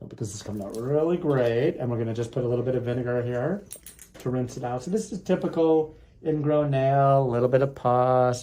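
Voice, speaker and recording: A man speaks fairly quickly at a medium pitch, with ordinary pitch variation. Noticeable background noise runs under his voice. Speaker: foot doctor doing procedures on camera. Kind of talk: narrated medical procedure with patient chat. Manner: casual play-by-play narration; soothing.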